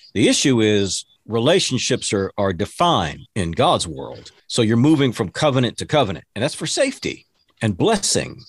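With an American accent, a man talks at a moderate pace and medium pitch, his voice showing vocal fry and very wide pitch swings over a quiet background. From Texas. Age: 50s. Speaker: motivational speaker and preacher. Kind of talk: casual interview.

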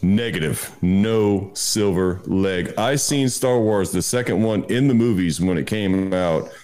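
Audible room echo surrounds a man with a fairly low pitch and a dark, mellow tone, his loudness very even and his pitch variation ordinary. He talks at a fairly slow pace with hardly any pauses. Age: 40s. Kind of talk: casual chat.

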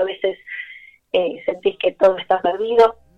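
With a Rioplatense accent, a woman of medium pitch talks at a moderate pace in monotone, flat intonation. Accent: Argentine Rioplatense Spanish. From Buenos Aires, Argentina. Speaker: tango festival artistic director. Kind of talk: radio interview.

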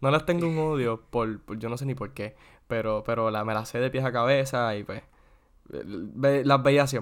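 A man talks in a plain, everyday voice at a medium pitch, with ordinary pitch variation. His pace is moderate, and the recording is very clean, with a silent background. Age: 20s. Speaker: podcast co-host. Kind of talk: casual chat.

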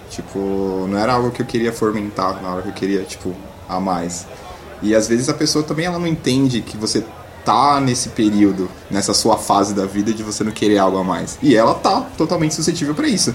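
Noticeable background noise runs under a voice with lively intonation at a fairly quick pace. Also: man, fairly low pitch for a man. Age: 20s. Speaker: stand-in co-host, podcast listener. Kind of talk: casual chat.

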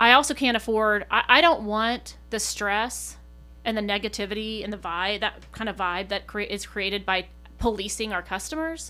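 Bright and sharp in tone, a woman with an American accent speaks at a fairly high pitch and a moderate pace with ordinary pitch variation. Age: 40s. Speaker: coffee shop manager. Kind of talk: casual group conversation. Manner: extroverted, laughs often.

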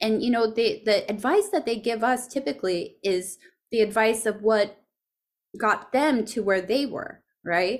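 Over a very clean recording with a silent background, a woman with a normal speaking voice talks at a fairly slow pace, fairly high in pitch with ordinary pitch variation. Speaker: podcast host and founder. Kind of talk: interview.

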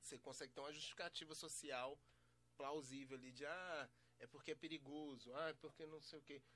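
A man's fairly high-pitched voice, bright and sharp in tone, with monotone, flat intonation at a fairly quick pace. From Belo Horizonte, Brazil. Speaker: podcast host and MC. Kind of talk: casual interview chat. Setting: studio.

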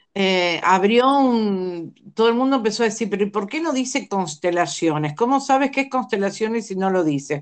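A normal speaking voice with lively intonation, a moderate pace and hardly any pauses, over a quiet background. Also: woman, medium pitch for a woman. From Argentina. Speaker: life coach and family constellations facilitator. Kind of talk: interview about family constellations.

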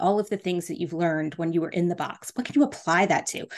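A woman speaks with a plain, everyday voice at a fairly low pitch, with ordinary pitch variation. The background is quiet. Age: 40s. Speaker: podcast host and business coach. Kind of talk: solo podcast monologue. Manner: casual, many filler words.

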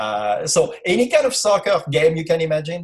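A man speaks with a French accent. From France. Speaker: youth soccer academy director and former sports writer. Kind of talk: casual interview. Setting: video call.

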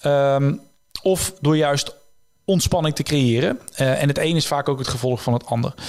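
Fairly high-pitched male speech in an ordinary speaking voice, moderately paced, its pitch varying in an ordinary way. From Netherlands, North Brabant (Tilburg area). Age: 30s. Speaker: illusionist and author. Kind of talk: interview.

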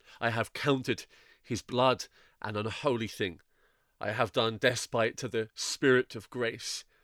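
A man with an unremarkable speaking voice at a fairly slow pace and fairly even intonation, in a very clean recording with a silent background. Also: medium pitch for a man. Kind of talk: audiobook reading of classic allegory with brief closing commentary. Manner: formal, measured, solemn reading of archaic prose.

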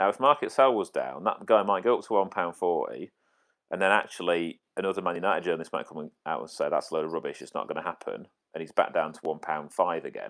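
A man at a very fast pace with big swings in loudness. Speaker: football index trader. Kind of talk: casual chat.

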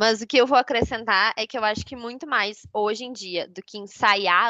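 Speaking fairly slowly, a woman with a fairly high voice and a bright, sharp tone uses ordinary pitch variation, recorded dry and close with no echo against a quiet background. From southern Brazil, São Leopoldo. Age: 30s. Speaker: podcast co-host. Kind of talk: casual chat.

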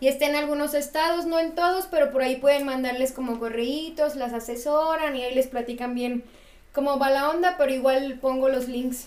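A woman speaks with a Mexican accent at a high pitch. Her intonation stays fairly even. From Mexico. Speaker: architect. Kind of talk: casual chat.

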